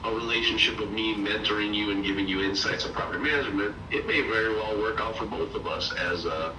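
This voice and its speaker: A man talks at a very fast pace with hardly any pauses. Noticeable background noise and audible room echo fill the recording. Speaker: property management mentor. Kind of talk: mentoring call.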